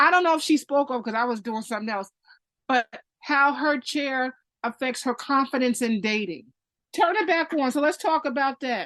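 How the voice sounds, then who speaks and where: A loud, high-pitched woman at a moderate pace, with lively intonation. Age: 50s. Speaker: parent and caregiver. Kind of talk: interview.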